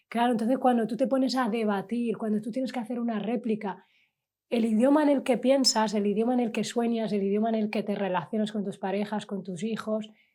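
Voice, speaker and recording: Talking at a fairly quick pace, a woman has a fairly high pitch, a dark, mellow tone and fairly even intonation, recorded very cleanly against a silent background. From Valencia, Spain (Sahrawi refugee background). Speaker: member of parliament. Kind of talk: interview conversation.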